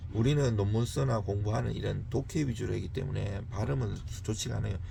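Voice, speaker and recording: Very fast speech from a man with a Gyeongsang accent, fairly low in pitch with a dark, mellow tone, vocal fry and very wide pitch swings, amid audible room echo. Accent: Gyeongsang dialect in his Korean, unchanged. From rural South Korea, Gyeongsang border mountains. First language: Korean. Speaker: law scholar and exam-prep tutor. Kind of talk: tutorial, reading English passages with Korean commentary. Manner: halting English reading with self-corrections.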